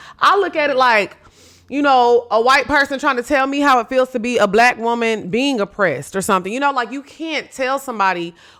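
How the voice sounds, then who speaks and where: Loud and animated, a woman speaks in a bright, sharp tone. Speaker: podcast host. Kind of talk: casual commentary.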